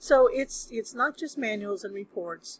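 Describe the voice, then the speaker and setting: A woman speaks in a somewhat breathy voice. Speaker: college instructor. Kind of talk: recorded lecture. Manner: casual, hesitant with fillers.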